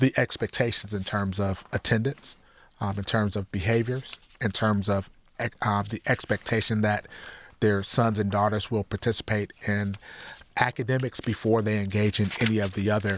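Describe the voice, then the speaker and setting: Speaking at a moderate pace in a dry, close sound with no echo, a man with an American accent and a fairly low pitch uses a monotone, flat intonation. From Detroit area, Michigan (Highland Park). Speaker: youth center director. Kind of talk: interview.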